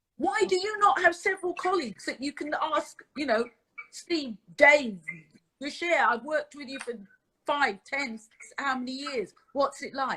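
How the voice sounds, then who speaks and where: A woman projects a raised voice with a bright, sharp tone at a high pitch, her intonation lively and her loudness swinging widely. She keeps to a moderate pace. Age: 60s. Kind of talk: casual chat.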